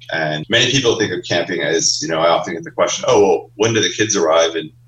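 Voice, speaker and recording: A man with an American accent talks at a very fast pace amid noticeable background noise. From Maine, US. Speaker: summer camp owner. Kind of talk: interview.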